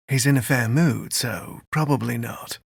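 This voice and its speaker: A man's put-on character voice, raspy, medium in pitch, at a moderate pace. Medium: read story. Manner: relaxed, friendly.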